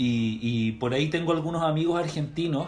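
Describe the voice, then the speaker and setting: Music plays behind a man with a Chilean accent. He speaks at a moderate pace in a fairly high voice with ordinary pitch variation. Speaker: podcast host. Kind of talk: interview.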